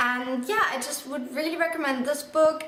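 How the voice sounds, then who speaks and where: A woman talks at a moderate pace. Audible room echo and noticeable background noise come through on the recording. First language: not English. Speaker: book vlogger. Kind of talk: casual book review monologue. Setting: indoors in bright sunlight, video. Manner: casual with frequent fillers.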